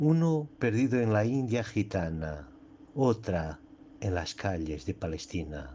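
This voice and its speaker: A man with a Portuguese accent and a dark, mellow tone speaks at a very slow pace. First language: Portuguese (speaking Spanish). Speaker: poet. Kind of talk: poetry reading. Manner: halting.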